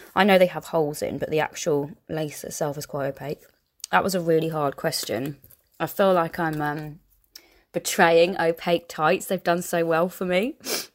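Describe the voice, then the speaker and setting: Fairly low in pitch, a woman speaks with a southern English accent and fairly even intonation. The recording is very clean, with a silent background. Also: moderate pace. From southern England. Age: 20s. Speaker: podcast host. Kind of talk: casual Q&A monologue. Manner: chatty.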